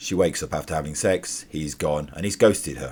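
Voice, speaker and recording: The voice is gravelly. Vocal fry runs through it. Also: man. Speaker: artist, graphic novel author. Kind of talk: casual TV episode review.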